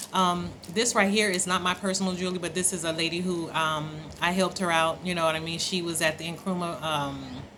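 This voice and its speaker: A woman with an American accent talks in a fairly low pitch and a monotone, flat intonation, with audible room echo and noticeable background noise. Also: fairly quick pace. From Oakland, California. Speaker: travel vlogger. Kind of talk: casual vlog monologue. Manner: casual, conversational, frequent fillers.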